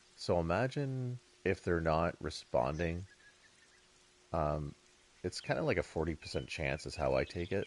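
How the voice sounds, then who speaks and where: Vocal fry colors this man's very deep, low voice, which moves with lively intonation. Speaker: video game streamer. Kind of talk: live gameplay commentary. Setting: live stream.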